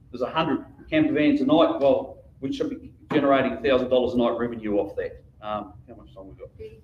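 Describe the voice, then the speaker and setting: Very fast and with hardly any pauses, a man speaks with a New Zealand accent, his loudness swinging widely. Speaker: local councillor and election candidate. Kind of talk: public speech at candidates forum.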